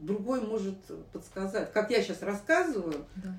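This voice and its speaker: Noticeable background noise beneath speech at a moderate pace. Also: woman. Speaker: psychologist. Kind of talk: interview. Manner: halting.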